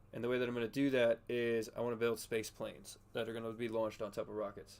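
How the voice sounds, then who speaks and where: A man's very fast, medium-pitched voice with monotone, flat intonation. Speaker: gaming streamer. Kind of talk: casual live stream chat with gameplay. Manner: quiet, soft-spoken.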